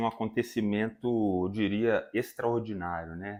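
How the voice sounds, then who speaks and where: Captured in a very clean recording with a silent background, a man speaks at a medium pitch with fairly even intonation. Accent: Minas Gerais. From Brazil, Minas Gerais (Viçosa). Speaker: musician and music teacher. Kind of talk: casual interview chat.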